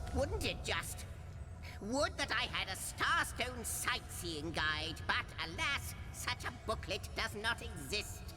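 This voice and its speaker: A put-on character voice at a fairly slow pace, with loud background noise. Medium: game stream. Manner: wordy, theatrical, jokey.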